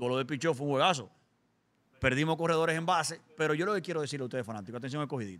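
A man with a fairly high pitch, a very fast pace, ordinary pitch variation. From Dominican Republic. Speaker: podcast host; podcast guest or host. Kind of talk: casual chat. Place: studio. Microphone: studio mic.

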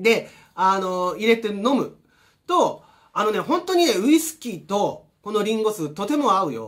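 High-pitched male speech at a moderate pace, with very wide pitch swings, against a quiet background. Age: 50s. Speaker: energy healer and vlogger; health vlogger. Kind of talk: casual vlog monologue. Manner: casual, many fillers and repetitions. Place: home room. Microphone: camera far.

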